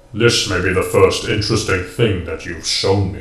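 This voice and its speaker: A man puts on a robotic character voice with a fairly low pitch and fairly even intonation. He speaks at a moderate pace, with a slight echo. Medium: read story. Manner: haughty, disdainful.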